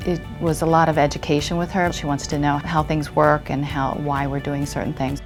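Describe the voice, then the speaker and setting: Music plays in the background as a woman with a very deep, low pitch talks at a fairly quick pace in a monotone, flat delivery with hardly any pauses. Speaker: hand therapist. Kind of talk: interview answer.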